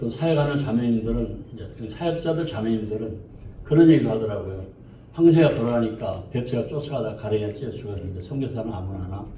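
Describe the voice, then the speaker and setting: A man talks at a fairly quick pace with a medium pitch and ordinary pitch variation. Audible room echo surrounds his voice. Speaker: missionary. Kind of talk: testimony. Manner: halting.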